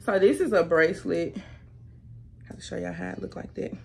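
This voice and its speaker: Over faint music in the background, a woman speaks at a moderate pace. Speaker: youtuber. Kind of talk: haul video. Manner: animated. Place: home room. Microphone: camera far.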